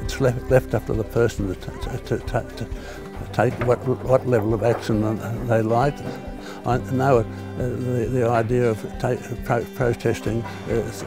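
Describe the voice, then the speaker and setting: Over clear music in the background, the speech comes fairly slowly in a monotone, flat intonation, with a dry sound and no echo. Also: man, medium pitch for a man. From Sydney, Australia. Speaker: war veteran; environmental protester. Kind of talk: interview answer. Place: open country. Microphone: lapel.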